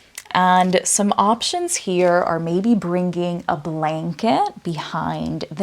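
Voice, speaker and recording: A soft-spoken woman talks at a very slow pace. Her pitch is fairly low, with ordinary pitch variation. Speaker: yoga instructor. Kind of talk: guided yoga class. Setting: virtual studio.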